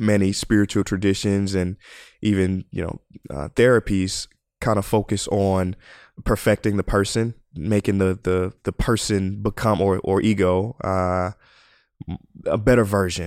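A man with a plain, everyday voice speaks at a moderate pace and a fairly low pitch, his intonation fairly even, in a dry, close recording with no echo. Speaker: podcast host. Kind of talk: casual interview chat. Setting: remote video call.

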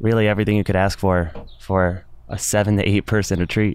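The man's fairly low voice keeps fairly even intonation, moving at a moderate pace. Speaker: fellow in residence. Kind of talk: casual chat.

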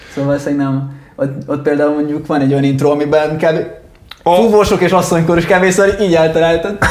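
Amid audible room echo and noticeable background noise, a man talks at a fairly high pitch and a fairly quick pace. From Italy, moved to Hungary at 8. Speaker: rock band musician. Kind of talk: casual interview chat.

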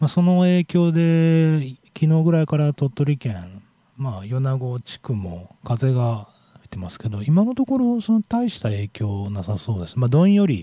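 A man's fairly high, somewhat breathy voice with a dark, mellow tone and very wide pitch swings, at a moderate pace, in a dry, close sound with no echo. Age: 40s. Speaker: radio host. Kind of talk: casual radio talk. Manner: casual, meandering with fillers.

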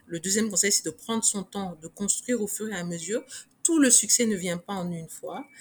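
A somewhat breathy woman at a fairly quick pace. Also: medium pitch for a woman, ordinary pitch variation. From Niger. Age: 40s. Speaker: fashion designer and business owner. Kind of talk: interview.

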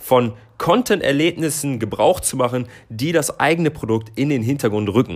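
In an ordinary speaking voice, a man talks at a moderate pace and medium pitch with lively intonation. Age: 20s. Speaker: marketing podcast co-host, agency employee. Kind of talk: scripted podcast discussion.

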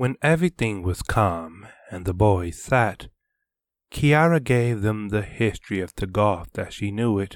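A normal speaking voice with lively intonation moves at a fairly slow pace in a very clean recording with a silent background. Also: man, fairly low pitch for a man. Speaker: audiobook narrator. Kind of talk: literary audiobook reading, scripted fiction narration. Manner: measured, storytelling cadence.

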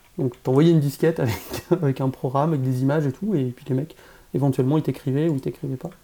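Speaking at a very fast pace, a man with a dark, mellow tone and a fairly high pitch shows ordinary pitch variation. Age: 40s. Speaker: game developer. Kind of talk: casual chat.

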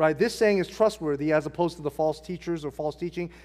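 Speaking in a Californian accent, a man with a fairly high pitch comes through in a very clean recording with a silent background. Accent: Californian American English. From Southern California, Hacienda Heights. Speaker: pastor. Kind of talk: sermon; prayer. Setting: church.

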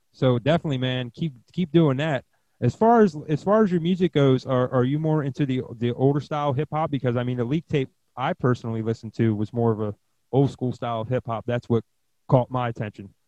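A man with an unremarkable speaking voice talks in an American accent, his pitch medium with ordinary variation. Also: fairly quick pace. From Pennsylvania. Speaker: podcast host, DJ. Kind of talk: casual interview.

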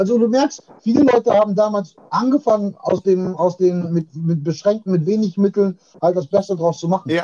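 A high-pitched man with a dark, mellow tone, ordinary pitch variation and a moderate pace, in dry, close sound with no echo. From Ruhr area, Germany (Witten). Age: 40s. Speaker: rapper. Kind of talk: casual chat. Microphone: distorted, overdriven audio.

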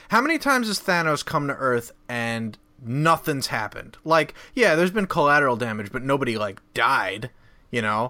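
A man's fairly high, bright and sharp voice, lively in intonation and moderate in pace, on a very clean recording with a silent background. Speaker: podcast panelist. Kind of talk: casual chat.

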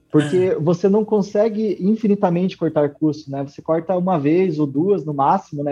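A very fast man's voice, high-pitched, with a dark, mellow tone. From Brazil, western Paraná. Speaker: tech entrepreneur. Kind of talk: interview. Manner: hesitant, many fillers.

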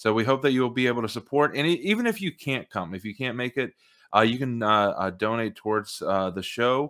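Fairly quick speech from a man with an American accent at medium pitch, dry and close with no echo. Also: ordinary pitch variation. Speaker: podcast host. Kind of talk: casual interview. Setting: video call. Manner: hesitant, filler words.

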